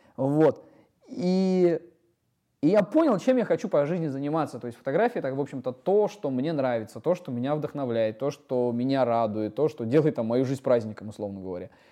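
A man with a dark, mellow tone and fairly high pitch, lively intonation at a moderate pace, over a quiet background. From Siberia, Russia (Iskitim near Novosibirsk). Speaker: photographer. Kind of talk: casual interview. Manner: hesitant, many fillers.

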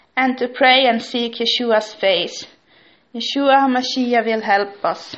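Fairly even intonation marks this woman's high-pitched speech. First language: Swedish or Finnish. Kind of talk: monologue vlog. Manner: halting.

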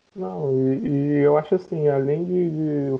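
A man speaks with a fairly high-pitched voice. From Baixada Fluminense, Rio de Janeiro (Duque de Caxias). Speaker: business administrator, podcast co-host. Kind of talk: casual discussion. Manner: halting, repeats words.

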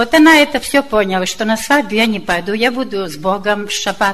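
There is noticeable background noise. Through it, a woman speaks at a fairly high pitch. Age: old. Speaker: church member. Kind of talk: testimony.

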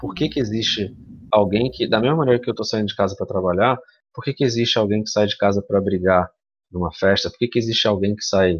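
A man with a fairly low voice speaks at a very fast pace, with ordinary pitch variation. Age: 30s. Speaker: founder of a streamer collective. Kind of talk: podcast interview.

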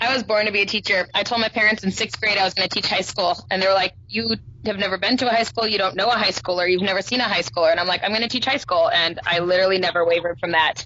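A woman with an American accent talks at a very fast pace with hardly any pauses, a medium pitch, ordinary pitch variation and very even loudness, over noticeable background noise. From southern California. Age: 30s. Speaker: online high school English teacher. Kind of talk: casual interview chat.

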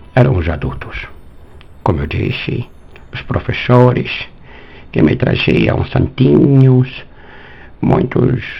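Noticeable background noise sits behind a man who speaks very slowly. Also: long, frequent pauses. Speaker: philosophy and math teacher. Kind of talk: interview.

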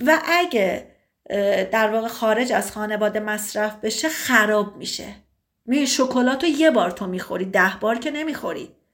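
The intonation here is lively. It is a plain, everyday voice. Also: woman. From Iran, Tabriz. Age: 30s. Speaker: sociologist. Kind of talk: casual chat.

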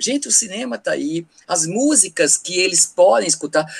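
Recorded dry and close with no echo, a man talks at a moderate pace in an animated tone with very wide pitch swings. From Paraíba, Brazil (Campina Grande). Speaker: teacher. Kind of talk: casual chat.

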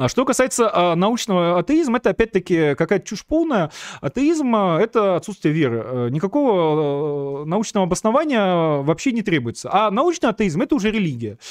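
A man's high voice swings very widely in pitch, with a dry, close sound with no echo over a quiet background. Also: moderate pace. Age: 30s. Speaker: political streamer and show host. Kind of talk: live stream monologue answering viewer questions. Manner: many filler hesitations (э, а); sarcastic, ironic delivery.

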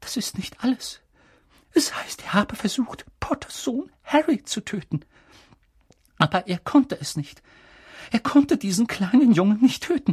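A man's shaky, put-on character voice, extremely high in pitch with very wide pitch swings, at a moderate pace with long, frequent pauses, in a dry, close sound with no echo. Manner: sorrowful, halting.

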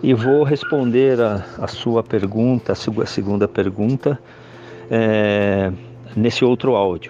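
Noticeable background noise behind a man's medium-pitched speech, its pitch varying in an ordinary way. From Brazil, São Paulo city. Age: 60s. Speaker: security consultant, retired army officer. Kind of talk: podcast interview. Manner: halting, many filler hesitations.

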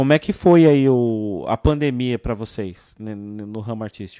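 A man's dark, mellow tone with ordinary pitch variation, dry and close with no echo. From south zone of São Paulo. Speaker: podcast host. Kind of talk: casual chat.

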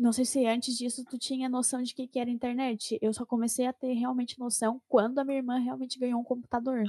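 Speaking at a very fast pace with hardly any pauses, a woman has a high-pitched voice with a dark, mellow tone and a monotone, flat intonation, in a dry, close sound with no echo. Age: 20s. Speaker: podcast co-host. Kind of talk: casual chat.

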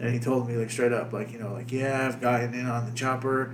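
Over noticeable background noise, a man with a medium pitch talks very fast in a flat monotone. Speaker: podcast host. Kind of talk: casual banter, profane. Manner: profane, rambling, filler-heavy.

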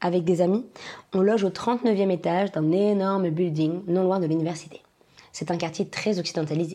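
A woman speaks at a fairly quick pace with a fairly low pitch. Her tone is dark and mellow, with fairly even intonation. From France.

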